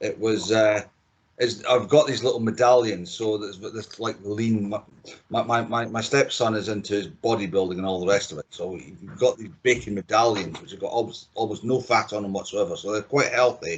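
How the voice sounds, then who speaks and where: This speaker has a Scottish accent. The intonation stays fairly even. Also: man, medium pitch for a man, moderate pace, hardly any pauses, big swings in loudness. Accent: Scottish, kept after thirty years. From Scotland, Dundee. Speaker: chief engineer. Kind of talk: casual chat. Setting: remote podcast recording.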